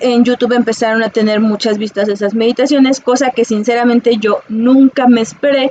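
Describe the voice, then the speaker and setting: A high-pitched woman's voice at a fairly quick pace, with ordinary pitch variation and noticeable background noise. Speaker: psychologist and holistic teacher. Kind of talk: casual monologue to viewers. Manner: halting, many fillers.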